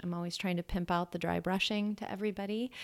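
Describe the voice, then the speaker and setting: A woman speaks in a Californian accent with monotone, flat intonation. The recording is very clean, with a silent background. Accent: Californian American. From Los Angeles, US. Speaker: yoga teacher. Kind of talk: interview. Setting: office studio.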